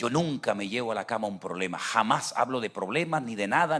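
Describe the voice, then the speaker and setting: A man with a plain, everyday voice talks at a moderate pace and a medium pitch with lively intonation. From Venezuela. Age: 60s. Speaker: pastor. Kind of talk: sermon.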